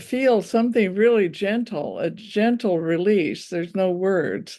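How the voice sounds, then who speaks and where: Fairly slow speech from a woman, medium in pitch with a dark, mellow tone and ordinary pitch variation. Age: 80s+. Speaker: healing client. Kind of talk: healing session. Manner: halting.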